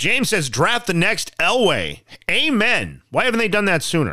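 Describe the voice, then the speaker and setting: Using a bright, sharp tone with vocal fry, a man with an American accent speaks at a fairly slow pace. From Colorado, Castle Rock. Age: 30s. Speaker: podcast host, sports fan commentator. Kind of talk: casual solo podcast monologue.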